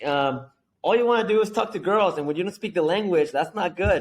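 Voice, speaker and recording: A man with a Spanish accent at a moderate pace, against a quiet background. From Mexico, Guadalajara. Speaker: entrepreneur. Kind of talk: interview. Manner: animated.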